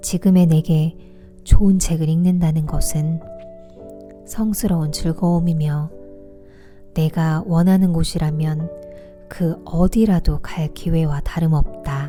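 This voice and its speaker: A woman with a fairly low pitch speaks in a calm tone at a very slow pace, leaving long, frequent pauses. Her intonation stays fairly even over music in the background. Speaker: audiobook reader / book vlogger. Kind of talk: audiobook reading for relaxation and sleep. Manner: soft, calm, relaxing.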